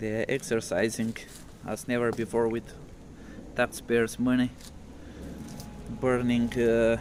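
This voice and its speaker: Speaking fairly slowly, a man with a non-native accent uses a medium pitch. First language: not English. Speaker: vlogger. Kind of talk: casual video walkthrough.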